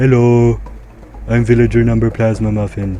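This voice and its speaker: Over clear background noise, a man puts on a character voice at a moderate pace. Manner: comical, goofy.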